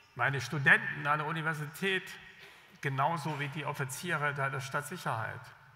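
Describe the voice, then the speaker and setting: With audible room echo, a man's bright, sharp tone carries fairly even intonation. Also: fairly high pitch for a man, moderate pace. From East Germany, Jena; East Germany. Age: 60s. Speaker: government official, former journalist; former journalist. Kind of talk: keynote speech. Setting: stage with audience. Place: stage. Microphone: podium.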